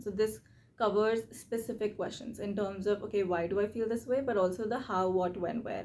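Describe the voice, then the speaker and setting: A woman talks at a fairly quick pace with a medium pitch. Her tone is dark and mellow, her intonation fairly even. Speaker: YouTuber, self-reflection and reading channel host. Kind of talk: tutorial. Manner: fast; casual, conversational.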